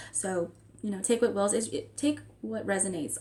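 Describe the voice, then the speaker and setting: A woman's fairly quick speech competes with noticeable background noise. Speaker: spiritual tarot vlogger. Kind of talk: casual spiritual vlog talk. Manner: fast; casual, filler-heavy.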